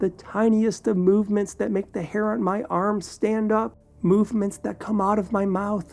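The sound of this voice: The intonation stays fairly even as an unforced reading voice moves through the text.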